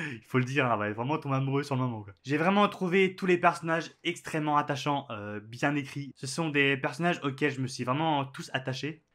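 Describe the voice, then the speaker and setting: A man's fairly high, bright, sharp voice at a fairly quick pace with lively intonation, on a very clean recording with a silent background. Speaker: book youtuber. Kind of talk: casual book review vlog. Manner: hesitant, many filler sounds.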